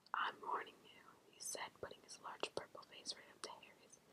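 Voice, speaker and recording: Someone whispers at a moderate pace. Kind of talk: whispered ASMR audiobook reading. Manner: whispered, soft-spoken, relaxing.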